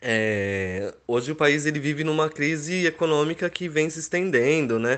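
An ordinary speaking voice from a man, fairly high in pitch, with lively intonation at a moderate pace. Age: 30s. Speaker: wedding photographer. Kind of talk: interview.

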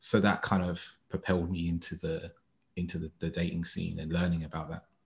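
In a London accent, a somewhat breathy voice races along at a very fast pace in a very clean recording with a silent background. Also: man. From East London, England. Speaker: dating and relationship coach. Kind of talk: casual chat.

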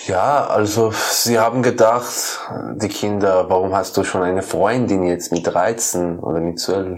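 Over noticeable background noise, a man talks with a Persian accent at a very deep, low pitch. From Iran, Kermanshah. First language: Persian (speaking German). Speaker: musician and poet. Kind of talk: interview. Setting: his room. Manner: halting.

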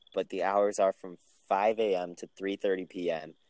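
A man's very deep, low voice, dry and close with no echo. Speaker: podcast co-host, college student. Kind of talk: casual chat. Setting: remote recording.

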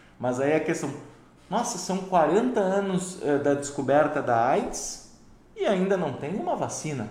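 In a room with audible echo and noticeable background noise, a man talks fairly slowly at a high pitch with lively intonation. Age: 30s. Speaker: livestream host. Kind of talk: interview. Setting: livestream. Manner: halting, repeats words.

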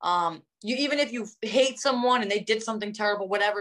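A woman talks very fast in a fairly high pitch with a New Jersey accent. Her pitch varies in an ordinary way. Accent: New Jersey American. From New Jersey (North Jersey). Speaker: professional wrestler. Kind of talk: interview.

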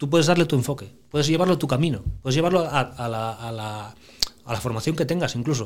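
This is a man with a plain, everyday voice. His fairly high pitch moves with lively intonation at a fairly quick pace. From Asturias, Spain (Piloña). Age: 40s. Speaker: family business manager. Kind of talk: casual interview.

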